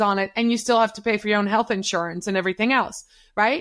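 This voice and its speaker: In a very clean recording with a silent background, a woman speaks in a bright, sharp tone with a Dutch accent. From Netherlands. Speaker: social media consultant. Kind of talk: interview. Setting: podcast. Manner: animated.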